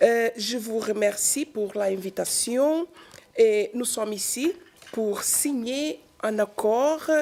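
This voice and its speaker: Speaking in a Portuguese accent, a woman talks at a very slow pace in a fairly high voice. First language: Portuguese (speaking French). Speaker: trade union leader. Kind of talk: press conference. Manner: halting, hesitant.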